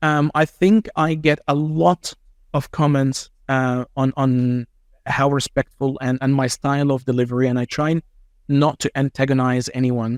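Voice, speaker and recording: In a very clean recording with a silent background and a dry, close sound with no echo, a man with an Arabic accent talks at a fairly slow pace and a fairly high pitch. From Egypt. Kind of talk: interview conversation. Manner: calm, measured.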